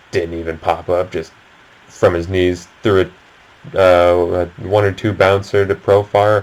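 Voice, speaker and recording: A man with a fairly low pitch talks at a fairly slow pace amid noticeable background noise. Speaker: sports podcast host. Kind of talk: solo sports commentary video. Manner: casual, filler-heavy. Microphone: laptop recording.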